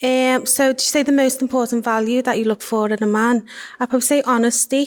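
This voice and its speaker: A monotone, flat delivery in a Liverpool accent, fairly quick in pace, with very even loudness. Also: woman, high pitch for a woman. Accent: Scouse. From Liverpool, England. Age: 20s. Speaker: primary school teacher, dating show contestant. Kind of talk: interview.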